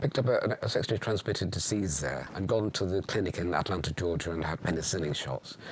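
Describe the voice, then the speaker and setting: A man speaks at a fairly quick pace in a very deep, low pitch with ordinary pitch variation. Noticeable background noise can be heard. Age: 70s. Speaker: LGBT and AIDS activist. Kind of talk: documentary interview. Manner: halting, many hesitations.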